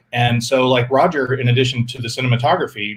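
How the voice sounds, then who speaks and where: A man speaks at a fairly quick pace. His voice is somewhat breathy and medium in pitch. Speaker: filmmaker. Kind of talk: Q&A interview. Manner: halting, stuttering.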